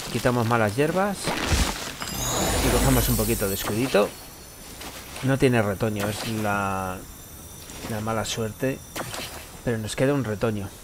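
Speaking at a fairly slow pace with long, frequent pauses, a man with fairly low pitch and ordinary pitch variation is heard amid noticeable background noise and audible room echo. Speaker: gaming YouTuber. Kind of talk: live gameplay commentary. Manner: animated.

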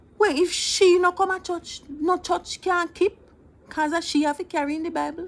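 This woman has an extremely high pitch and a playful tone. She speaks with a Jamaican accent. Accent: Jamaican Patois. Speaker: storyteller. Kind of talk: humorous storytelling. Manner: playful, conversational. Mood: animated, mock-tearful humor. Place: home room. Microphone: phone near.

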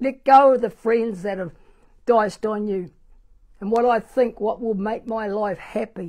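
A woman talks with a New Zealand accent, fairly high in pitch and with fairly even intonation. Behind her, the background is quiet. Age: 70s. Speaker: pastor. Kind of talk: sermon. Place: church. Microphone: lapel.

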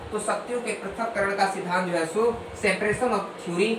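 This man's voice sits high for a man, with ordinary pitch variation and audible room echo.

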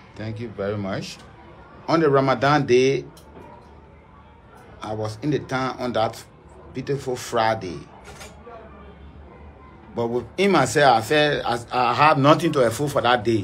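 Over faint background music, a man talks at a fairly slow pace, leaving long, frequent pauses. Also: ordinary pitch variation. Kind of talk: interview answer. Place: home room. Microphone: phone near.

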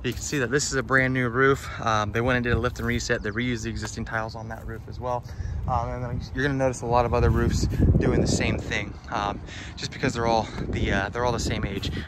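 Over loud background noise, a man talks at a very fast pace in a dry recording with no echo. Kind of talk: inspection walkthrough commentary. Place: open country. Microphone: phone near.

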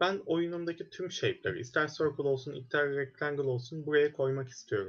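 Against a quiet background, a man talks at a moderate pace, somewhat breathy. His pitch is fairly high, with ordinary variation. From Turkey. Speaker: programming instructor; student course instructor. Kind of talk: lecture. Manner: hesitant, many fillers.

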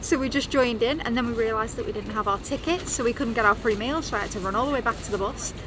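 Music in the background beneath ordinary pitch variation. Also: woman. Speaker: travel vlogger. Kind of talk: casual vlog chat. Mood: relaxed, upbeat recounting. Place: bus. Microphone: phone near.

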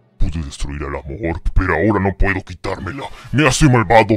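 A man puts on a character voice with a very deep, low pitch. He talks at a fairly quick pace. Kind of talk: dramatic storytelling narration.

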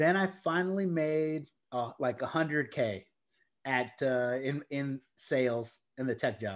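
A man's enthusiastic, fairly high voice at a fairly slow pace with ordinary pitch variation over a quiet background. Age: 40s. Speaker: real estate investor and tech sales executive; tech sales executive. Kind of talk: interview. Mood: cheerful, enthusiastic. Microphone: video call.

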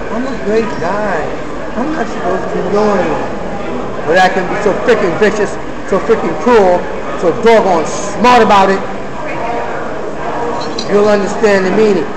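Noticeable background noise surrounds a man who speaks at a moderate pace, stopping often for long pauses. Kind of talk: emotional personal monologue. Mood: upset, aggrieved. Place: cafe. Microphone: phone near.

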